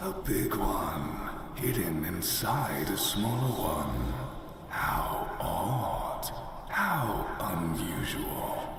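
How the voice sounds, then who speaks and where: Amid loud background noise and clear echo, a man uses a put-on character voice, fairly low in pitch and at a very slow pace. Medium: game stream. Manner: eerie, condescending, theatrical.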